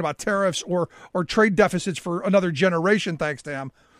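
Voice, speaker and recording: In an American accent, the speaker sounds angry and talks at a fairly quick pace with ordinary pitch variation. The recording is very clean, with a silent background and a dry, close sound with no echo. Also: man. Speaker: labor organizer and media host. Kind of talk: rally or protest speech, fiery call to action. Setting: interview conversation. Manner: angry, forceful, urgent; emphatic, declamatory.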